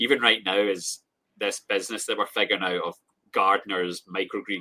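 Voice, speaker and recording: A man speaks with a Scottish accent. His pace is fairly quick. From Scotland. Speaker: grower and small business owner. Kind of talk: casual chat.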